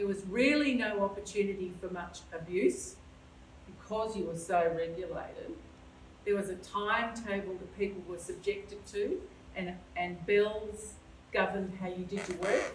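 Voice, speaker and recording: With an Australian accent, the speaker goes at a moderate pace with ordinary pitch variation. Audible room echo and noticeable background noise fill the recording. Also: woman, medium pitch for a woman. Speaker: volunteer social history guide. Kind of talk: panel talk to audience. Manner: loud.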